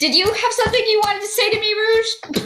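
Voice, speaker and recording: This put-on character voice is squeaky and extremely high-pitched. The pace is very fast. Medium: actual play.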